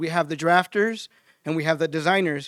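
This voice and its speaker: Loud and high-pitched, a man talks at a fairly quick pace in a dry, close sound with no echo and a very clean recording with a silent background. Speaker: utility design trainer. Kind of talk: conference presentation.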